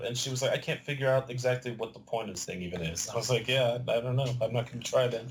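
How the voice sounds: A man at a medium pitch talks at a fast pace, with audible room echo around him. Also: fairly even intonation.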